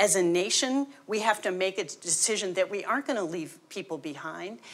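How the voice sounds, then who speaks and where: A woman with an American accent has an unremarkable speaking voice. She talks at a moderate pace with lively intonation. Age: 60s. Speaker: union leader. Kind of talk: panel discussion.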